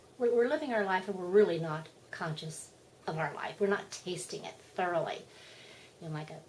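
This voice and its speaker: A woman's animated tone at a moderate pace. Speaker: spiritual vlogger. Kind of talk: casual monologue.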